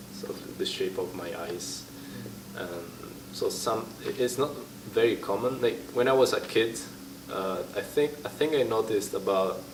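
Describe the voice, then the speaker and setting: A man speaks at a fairly slow pace with long, frequent pauses, amid noticeable background noise and audible room echo. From Italy. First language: Italian. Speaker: interviewee. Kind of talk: interview. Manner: halting.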